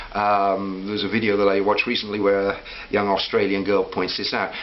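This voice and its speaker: Speaking very fast at a medium pitch, a man is heard with audible room echo and noticeable background noise. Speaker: vlogger. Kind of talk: personal reflective monologue. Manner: hesitant with fillers.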